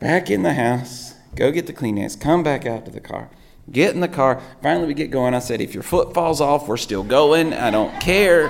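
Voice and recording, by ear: Vocal fry colors a man's fairly high-pitched voice, which has lively intonation. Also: moderate pace.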